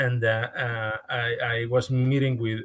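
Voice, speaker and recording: A man talks with a Mexican accent. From Mexico. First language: Spanish. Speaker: podcast guest. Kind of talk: podcast interview. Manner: halting, with frequent repetitions.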